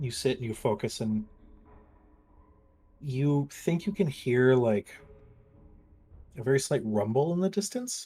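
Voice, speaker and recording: Somewhat breathy and dark, mellow in tone, a man's medium-pitched voice moves at a fairly slow pace with lively intonation. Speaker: game master. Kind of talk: tabletop roleplay narration. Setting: live stream.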